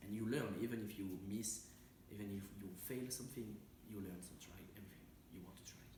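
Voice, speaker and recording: A man's fairly low voice at a fairly quick pace with fairly even intonation, audible room echo and noticeable background noise. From France, near Saint-Étienne. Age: 20s. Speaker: interviewee, traveler. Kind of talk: interview. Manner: halting.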